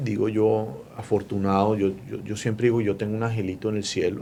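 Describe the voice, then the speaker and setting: A man with a Bogotá accent, medium in pitch, at a fairly quick pace with fairly even intonation. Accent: Bogotá (rolo) Colombian Spanish. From Colombia, Bogotá. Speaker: mortgage lender. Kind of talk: interview.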